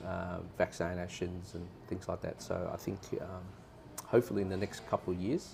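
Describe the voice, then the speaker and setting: A man's very deep, low, monotone voice with flat intonation, in an Australian accent, with music in the background. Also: moderate pace. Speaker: tourist interviewee. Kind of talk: casual interview chat.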